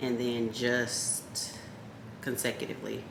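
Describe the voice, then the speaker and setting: A woman whispers quietly amid noticeable background noise and audible room echo. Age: 30s. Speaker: lifestyle vlogger. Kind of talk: casual vlog chat. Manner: quiet, near whisper.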